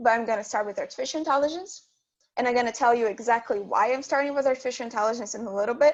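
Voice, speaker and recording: Very fast and high-pitched, a woman talks with ordinary pitch variation. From Brazil. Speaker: student guest speaker. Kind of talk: lecture.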